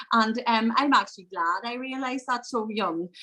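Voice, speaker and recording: This woman speaks at a moderate pace in an Irish accent, her pitch varying in an ordinary way. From Northern Ireland, County Fermanagh. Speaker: mental health consultant. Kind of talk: interview.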